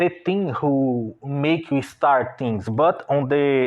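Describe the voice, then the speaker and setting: A man with a Brazilian Portuguese accent speaks at a very slow pace. His pitch is fairly high, with ordinary variation. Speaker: online business owner and artist. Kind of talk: unscripted monologue. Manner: halting.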